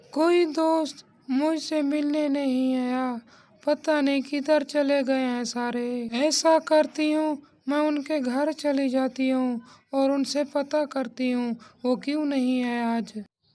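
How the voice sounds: A cartoonish character voice, female-sounding and high-pitched, speaks at a fairly slow pace.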